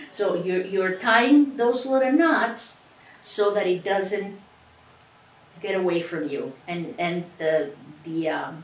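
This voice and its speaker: Very slow speech with a Cuban accent and lively intonation is broken by long, frequent pauses. Audible room echo and noticeable background noise surround it. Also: woman, medium pitch for a woman. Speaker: sewing instructor. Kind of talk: tutorial.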